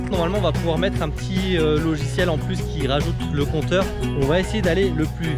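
A man's voice in a dry sound with no echo, loud music in the background. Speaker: action sports vlogger. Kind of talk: casual vlog chat. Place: open country. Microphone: phone near.

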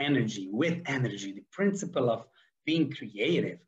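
A man speaks at a moderate pace in a somewhat breathy voice against a quiet background. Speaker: podcast host, athlete coach. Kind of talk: motivational podcast monologue. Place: home room. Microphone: webcam.

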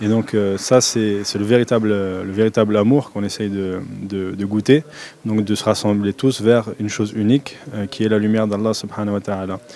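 Over light background noise, in a dry sound with no echo, a man with a French accent talks at a very fast pace with fairly low pitch and monotone, flat intonation. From France. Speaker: convert and follower of a Sufi order. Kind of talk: interview answer, casual. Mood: calm, devout. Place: hall. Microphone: handheld.

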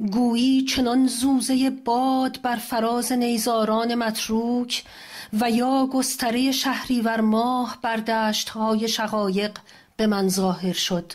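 Speaking at a very slow pace, a woman keeps her fairly high voice to a fairly even intonation. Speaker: translator. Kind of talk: poetry reading.

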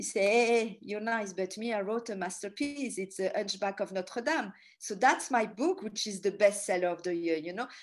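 A woman with a French accent at a moderate pace, ordinary pitch variation, hardly any pauses, and a quiet background. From Paris, France. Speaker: tour guide and author; tour guide. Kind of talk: lecture. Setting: talk to a ladies group. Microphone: video call.

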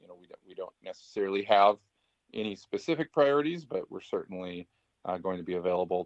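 Over a quiet background with a dry sound and no echo, a man talks at a fairly quick pace. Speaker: project official giving report. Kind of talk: meeting presentation. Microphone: video call.

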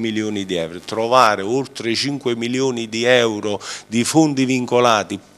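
Pitched fairly low, a man keeps his intonation fairly even. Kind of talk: interview answer. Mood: assertive, defending record. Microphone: handheld.

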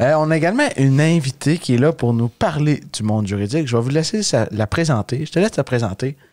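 A man's slightly mellow, medium-pitched voice at a fast pace with lively intonation

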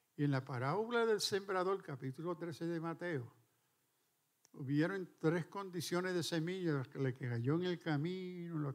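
A fairly slow pace against a quiet background. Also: man. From New York City. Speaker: preacher. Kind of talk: sermon. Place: church. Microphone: handheld.

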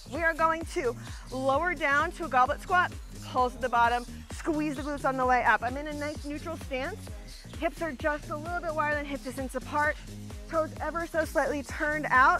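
A woman speaks fairly quickly in a raised, projected voice with fairly even intonation. The sound is dry with no echo, and music plays clearly in the background. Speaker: fitness instructor. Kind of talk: workout instruction. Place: open country.

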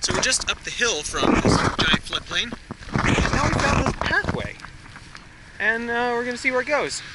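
Loud background noise fills a recording whose sound is dry, without any echo. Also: man, moderate pace. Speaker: family vlogger. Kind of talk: casual vlog chat. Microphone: phone near.

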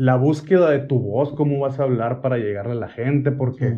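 A man speaks at a fairly slow pace and a medium pitch against a quiet background. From Hermosillo, Sonora, Mexico; Sonora, Mexico. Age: 40s. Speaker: singer and social media creator; social media creator. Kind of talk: casual interview chat. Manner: brusque, forceful delivery often taken as angry. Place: home room.

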